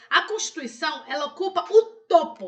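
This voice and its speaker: Pitch swinging very widely, a woman speaks in a raised, projected voice. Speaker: law professor. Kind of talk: educational lecture on constitutional law. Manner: clear, friendly, didactic.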